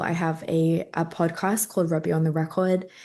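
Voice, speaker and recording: Against a quiet background, a woman with an Australian accent talks at a moderate pace in a fairly low pitch, her intonation monotone and flat. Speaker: influencer and entrepreneur. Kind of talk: online summit talk.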